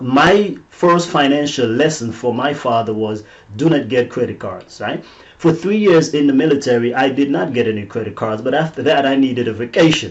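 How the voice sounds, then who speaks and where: A man with a non-native accent speaks at a fairly high pitch over noticeable background noise. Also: ordinary pitch variation, moderate pace. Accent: noticeable foreign. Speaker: motivational teacher and author. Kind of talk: faith-based teaching webinar. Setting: webinar.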